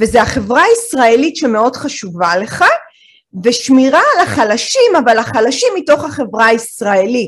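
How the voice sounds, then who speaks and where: A high-pitched woman at a fairly slow pace, lively in intonation and very even in loudness. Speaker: podcast host and lecturer. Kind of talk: interview.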